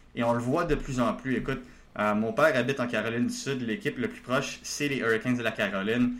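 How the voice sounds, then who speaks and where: A man talks at a fairly quick pace, his pitch medium with ordinary variation. There is audible room echo. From Quebec, Laval. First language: not French (speaking French). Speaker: hockey prospects analyst. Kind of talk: casual chat. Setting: video call.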